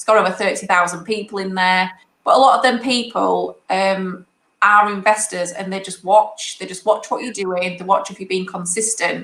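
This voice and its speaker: In a northern English accent, a woman of medium pitch speaks at a moderate pace with fairly even intonation and big swings in loudness. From northern England. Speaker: property investor. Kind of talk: interview.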